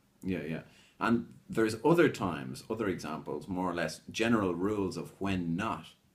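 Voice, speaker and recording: Vocal fry runs through this man's very deep, low-pitched voice. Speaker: English teacher. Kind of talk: lesson. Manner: slow.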